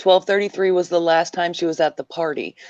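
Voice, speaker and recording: The background stays quiet. A woman talks with a medium pitch. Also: dry, close sound with no echo. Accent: American. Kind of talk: casual chat. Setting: live stream.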